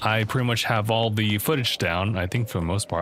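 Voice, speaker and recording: Speaking at a fairly quick pace, a man with a fairly low pitch uses ordinary pitch variation over noticeable background noise. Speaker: gaming streamer. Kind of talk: live stream commentary. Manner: fast; casual.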